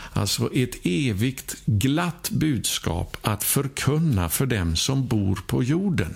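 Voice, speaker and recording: Speaking very slowly with hardly any pauses, a man uses a medium pitch that swings very widely, with vocal fry and very even loudness. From Sweden. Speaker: preacher. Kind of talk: sermon.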